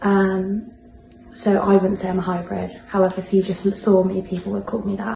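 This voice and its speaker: Speaking with a British accent, a woman keeps a medium pitch and a moderate pace. Her intonation is monotone and flat. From UK. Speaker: interviewee. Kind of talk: personal reflection interview.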